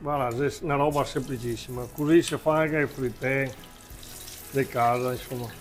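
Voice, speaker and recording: The speaker talks at a moderate pace in a Venetian accent, with long, frequent pauses. Music plays in the background. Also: man, medium pitch for a man. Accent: Venetian dialect slips. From Veneto, Italy. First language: Venetian (speaking Italian). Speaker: cook, agritourism owner. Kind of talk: cooking demonstration. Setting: farm kitchen. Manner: animated.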